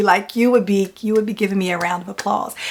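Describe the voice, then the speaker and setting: A woman speaks loudly. Noticeable background noise runs underneath. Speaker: real estate investor and business coach. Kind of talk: casual vlog monologue. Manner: casual, filler-heavy.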